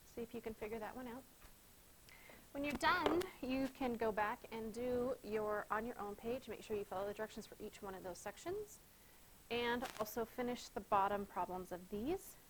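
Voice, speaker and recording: Over noticeable background noise, a woman speaks at a moderate pace and a fairly high pitch with ordinary pitch variation. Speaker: schoolteacher. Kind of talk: tutorial.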